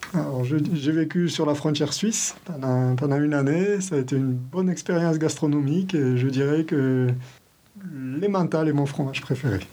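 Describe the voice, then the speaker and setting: Speaking at a moderate pace, a man with a fairly high pitch keeps his loudness very even and his pitch variation ordinary, with audible room echo. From southern France, Gard. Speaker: deputy school principal. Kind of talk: interview.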